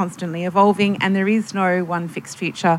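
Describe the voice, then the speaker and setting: Talking at a fairly quick pace, a woman uses an ordinary speaking voice at a medium pitch. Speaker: futurist and panelist, workshop facilitator. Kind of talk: panel discussion and facilitation. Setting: stage with audience.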